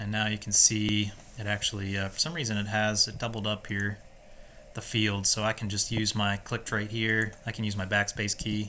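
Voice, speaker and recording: The voice has a bright, sharp tone and a monotone, flat intonation. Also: man, fairly low pitch for a man. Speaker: software tutorial presenter. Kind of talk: screen-recorded tutorial. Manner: casual, halting with many fillers; fast.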